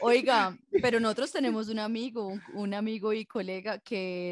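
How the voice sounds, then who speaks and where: A woman speaks in an unremarkable speaking voice, fairly high in pitch with ordinary pitch variation. The sound is dry and close, with no echo. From Colombia, warm-climate region. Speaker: podcast co-host. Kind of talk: casual chat.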